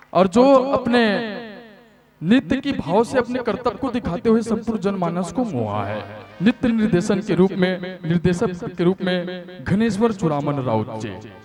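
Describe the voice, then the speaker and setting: With music playing behind him, a high-pitched man speaks with lively intonation. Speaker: stage emcee. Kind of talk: stage emceeing. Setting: stage with audience. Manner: formal.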